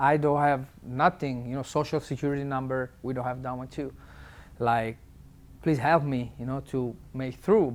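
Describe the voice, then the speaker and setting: A man speaks with an Italian accent. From Italy. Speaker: tattoo artist. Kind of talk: interview answer.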